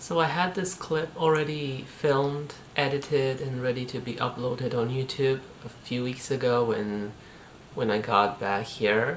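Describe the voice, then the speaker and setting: Over noticeable background noise, a woman with a very deep, low pitch speaks at a fairly slow pace with ordinary pitch variation. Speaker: fitness vlogger and artist. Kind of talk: casual talk to camera. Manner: hesitant, reflective.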